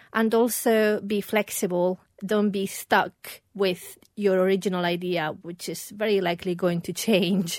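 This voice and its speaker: A woman's medium-pitched, plain, everyday voice with fairly even intonation, on a very clean recording against a silent background. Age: 40s. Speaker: perfumer and business founder. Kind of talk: casual interview.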